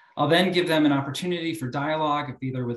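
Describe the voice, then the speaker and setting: Audible room echo surrounds a man speaking with fairly even intonation. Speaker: academic moderator. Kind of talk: moderating a webinar. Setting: video call. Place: office. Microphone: webcam.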